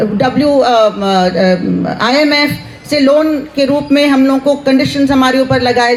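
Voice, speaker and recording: A woman with a high pitch, noticeable background noise behind her. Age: 60s. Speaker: university professor. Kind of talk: rally speech.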